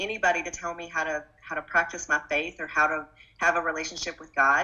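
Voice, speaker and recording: In an Arkansas accent, a woman talks at a very fast pace. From Arkansas, US South. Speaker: political candidate. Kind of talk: interview.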